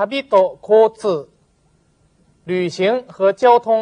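A woman's voice with ordinary pitch variation. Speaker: Japanese language teacher. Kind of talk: tutorial.

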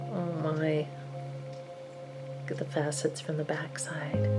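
Very slow speech over loud music in the background. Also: woman. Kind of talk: ASMR show and tell. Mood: admiring, delighted. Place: home room.

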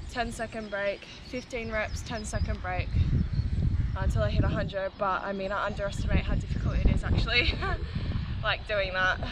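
Loud background noise sits under speech delivered at a moderate pace, with a dry sound and no echo. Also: woman. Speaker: fitness vlogger. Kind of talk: casual vlog chat. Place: open country.

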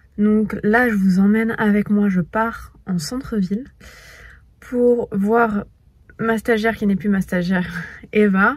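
Very slow, somewhat breathy speech with long, frequent pauses, fairly even intonation, a dry sound with no echo and a quiet background. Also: woman. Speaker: lifestyle vlogger. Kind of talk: casual vlog chat. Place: car. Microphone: phone near.

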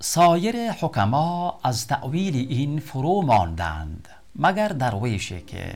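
Over background music, a man with an Afghan accent speaks very slowly, his pitch swinging very widely. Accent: Dari (Afghan Persian). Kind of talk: poetry reading.

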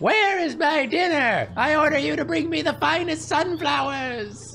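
A shrill, put-on character voice at a moderate pace over clear background noise. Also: female-sounding voice. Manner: imperious, commanding.

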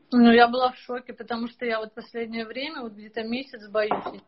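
Noticeable background noise sits under a woman speaking at a moderate pace in a fairly high pitch. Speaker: caller seeking consultation; caller. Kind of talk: personal conversation on a call. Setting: video call. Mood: worried, somewhat sad. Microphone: video call.

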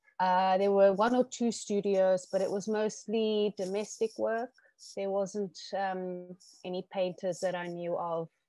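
Quiet background, dry sound with no echo, and a woman's dark, mellow tone at a fairly slow pace with fairly even intonation. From South Africa, Eastern Cape farm town. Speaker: stained glass artist. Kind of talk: interview. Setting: video call. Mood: calm, reflective. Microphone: video call.

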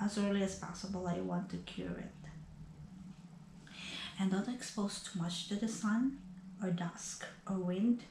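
A woman talks at a fairly slow pace over light background noise, with audible room echo. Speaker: vlogger sharing health experience. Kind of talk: casual vlog chat. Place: home room. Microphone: camera far.

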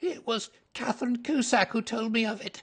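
A man puts on a character voice pitched extremely high, shaky in sound. He keeps a moderate pace with ordinary pitch variation.

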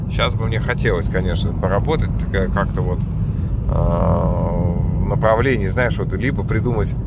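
Loud background noise accompanies a man speaking at a moderate pace in a dry sound with no echo. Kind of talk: casual vlog chat. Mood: reflective, self-deprecating. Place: car.

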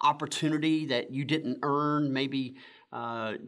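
Against a quiet background, the speaker keeps a moderate pace and fairly even intonation. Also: man. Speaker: church pastor. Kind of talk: sermon. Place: church.

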